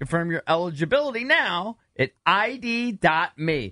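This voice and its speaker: Projecting a raised voice, a man speaks at a fairly slow pace with lively intonation. His tone is bright and sharp, his pitch high. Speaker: sports radio host. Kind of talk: casual sports talk banter.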